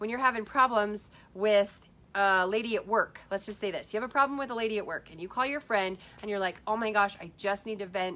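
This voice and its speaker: A bright, sharp tone moves at a fairly quick pace with ordinary pitch variation. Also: woman. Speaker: life coach livestreamer. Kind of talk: Facebook live talk. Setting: Facebook live video. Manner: fast.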